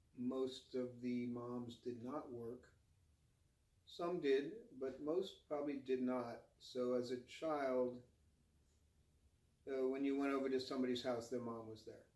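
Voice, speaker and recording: Speaking at a fairly slow pace with long, frequent pauses, a man with an American accent has a medium pitch and a dark, mellow tone, with audible room echo around him. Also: fairly even intonation. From US Northeast, New Jersey suburb. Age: 60s. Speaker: interviewee, local resident. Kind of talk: oral history interview. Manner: halting, many fillers.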